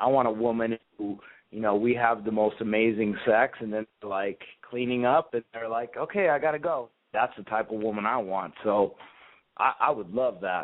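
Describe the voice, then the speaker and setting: This man has an unremarkable speaking voice, medium in pitch, moving at a moderate pace with ordinary pitch variation. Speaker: caller. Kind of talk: casual phone chat. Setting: internet voice call.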